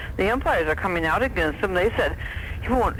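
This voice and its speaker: Someone speaks at a very fast pace with noticeable background noise behind them. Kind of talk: talk radio call-in or host discussion.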